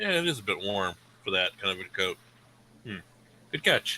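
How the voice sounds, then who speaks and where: This man performs a put-on character voice at a fairly low pitch. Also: moderate pace. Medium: actual play. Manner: blunt, intimidating.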